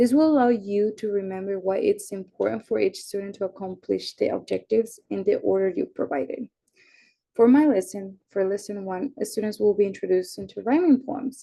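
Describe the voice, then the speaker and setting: Ordinary pitch variation with a Spanish accent. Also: woman, medium pitch for a woman, fairly quick pace. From Mexico and Iowa. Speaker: university student. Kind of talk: class presentation.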